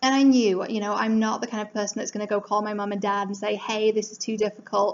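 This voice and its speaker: A woman talks at a very fast pace. Her intonation stays flat and monotone. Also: fairly high pitch for a woman. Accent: English. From England. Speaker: life coach. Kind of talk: motivational talk. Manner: casual, conversational.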